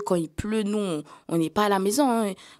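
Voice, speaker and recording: A woman speaks fairly slowly at a medium pitch, her pitch varying in an ordinary way. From Mayotte (Bandrélé, south). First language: Kibushi (Malagasy variety) (speaking French). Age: 20s. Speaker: young trainee sharing her life story. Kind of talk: podcast testimony. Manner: hesitant, many fillers and repetitions; casual youthful slang.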